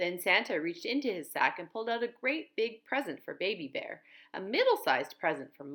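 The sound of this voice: The clip features an unforced reading voice. It is heard reading aloud.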